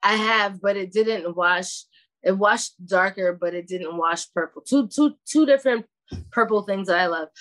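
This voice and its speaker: In a Brooklyn accent, the speaker talks at a moderate pace with ordinary pitch variation. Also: woman, medium pitch for a woman. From Brooklyn, New York. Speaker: hash maker and cannabis grower. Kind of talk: interview.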